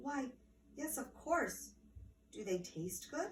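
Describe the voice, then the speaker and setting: Delivered at a very slow pace, this put-on character voice sits at a fairly high pitch. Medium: read story. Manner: eager.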